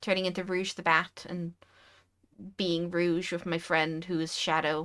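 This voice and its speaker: A woman speaks fairly slowly at a fairly low pitch. The recording is very clean, with a silent background. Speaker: VTuber streamer. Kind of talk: casual chat. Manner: animated.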